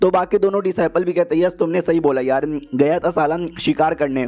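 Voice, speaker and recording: A man talks at a moderate pace with a fairly high pitch. His tone is dark and mellow, with ordinary pitch variation. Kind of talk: casual recap narration.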